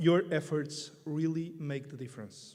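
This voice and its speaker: A man with a Portuguese accent speaks at a fairly high pitch with fairly even intonation, and the room echo is audible. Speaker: priest and canon law expert. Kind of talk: conference talk.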